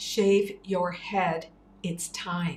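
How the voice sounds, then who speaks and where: Putting on a character voice, a woman booms at a medium pitch with monotone, flat intonation. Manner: commanding.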